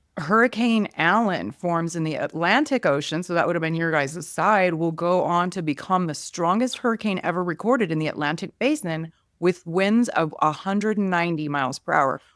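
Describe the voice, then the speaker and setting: Talking at a moderate pace with hardly any pauses, a woman has an ordinary speaking voice, a fairly low pitch, and lively intonation in a very clean recording with a silent background. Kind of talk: podcast hosting.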